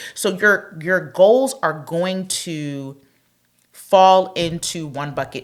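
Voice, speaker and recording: A woman talks in an animated tone. Her intonation is lively. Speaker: relationship podcast co-host. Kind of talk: casual chat.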